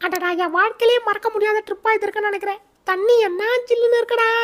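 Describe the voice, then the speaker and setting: A woman speaks at a fairly quick pace in a put-on character voice, extremely high-pitched, with fairly even intonation. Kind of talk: comic troll-video dubbing. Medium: voice reel. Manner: chatty, comic, talks to herself.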